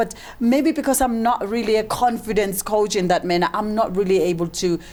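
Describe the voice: At a fairly quick pace, a woman speaks at medium pitch, her tone slightly mellow and her intonation fairly even.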